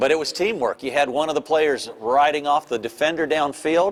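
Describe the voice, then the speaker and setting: Noticeable background noise accompanies the speech of a man. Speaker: polo match commentator. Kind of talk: live commentary. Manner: animated.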